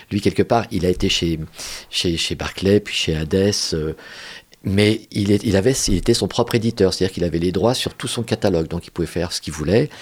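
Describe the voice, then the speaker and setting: Pitched fairly low, a man talks at a fairly quick pace. His pitch varies in an ordinary way. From Paris suburbs, France. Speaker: theatre director. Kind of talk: casual chat. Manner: halting.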